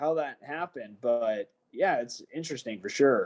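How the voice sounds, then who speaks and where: With an American accent, a man speaks at a moderate pace using very wide pitch swings. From United States. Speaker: professional MMA fighter. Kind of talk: casual chat.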